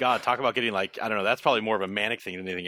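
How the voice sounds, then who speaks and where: The tone is bright and sharp as a man talks at a very fast pace. The recording is very clean and dry, with a silent background and a close sound with no echo. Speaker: podcast guest. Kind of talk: casual chat. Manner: halting.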